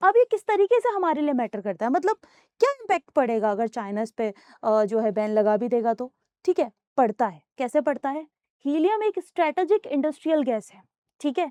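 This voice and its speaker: Her pitch is high and swings very widely as she goes. The woman keeps a moderate pace in a dry, close sound with no echo. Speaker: UPSC coaching teacher. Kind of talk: classroom lecture on current affairs.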